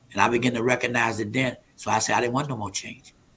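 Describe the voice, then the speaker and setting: A man speaks at a very fast pace and medium pitch in a monotone, flat intonation. Noticeable background noise runs underneath. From US South, Alexandria, Virginia. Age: 70s. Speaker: prophet and men's ministry leader. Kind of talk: testimony.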